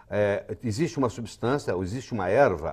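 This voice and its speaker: A man has an ordinary speaking voice at a medium pitch. He talks at a moderate pace against a quiet background. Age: 60s. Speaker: physician and author. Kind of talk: TV health interview.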